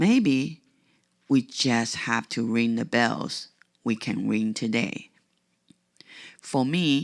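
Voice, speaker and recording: Someone with a non-native accent speaks at a very slow pace. The recording is very clean, with a silent background. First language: not English. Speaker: podcast host. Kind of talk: reflective podcast monologue.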